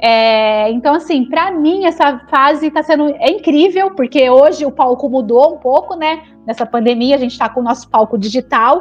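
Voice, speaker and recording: With hardly any pauses, a woman talks at a moderate pace in a high voice, her pitch varying in an ordinary way. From Brazil, São Paulo state (Araraquara). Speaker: chemical engineer and business consultant. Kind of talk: interview, life story.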